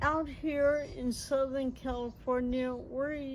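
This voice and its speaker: A woman is speaking. Room echo is audible. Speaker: backyard gardener. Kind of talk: tutorial. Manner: halting, slurred speech from a progressive brain disease.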